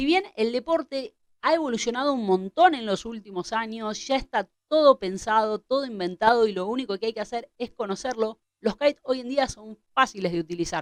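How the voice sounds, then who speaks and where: A woman with an Argentine accent and a fairly high pitch, very wide pitch swings, big swings in loudness and a moderate pace. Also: dry, close sound with no echo. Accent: Argentine Spanish (Rioplatense). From Argentina. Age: 30s. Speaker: kitesurf instructor. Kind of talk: tutorial.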